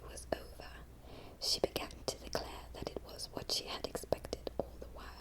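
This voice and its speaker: Whispered words come at a fairly slow pace, with noticeable noise behind them. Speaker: ASMR narrator. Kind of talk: audiobook reading of a classic novel. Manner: whispered, soft-spoken.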